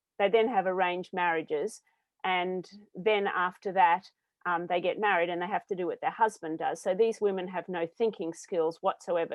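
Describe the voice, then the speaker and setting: A woman with an Australian accent speaks at a medium pitch with fairly even intonation. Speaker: social enterprise founder. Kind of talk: panel discussion.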